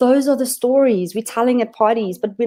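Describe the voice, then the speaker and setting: A woman speaks with a fairly high pitch. Her tone is dark and mellow. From South Africa, Limpopo. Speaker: digital marketing specialist. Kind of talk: webinar presentation. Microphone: audio feedback, hears own voice echo.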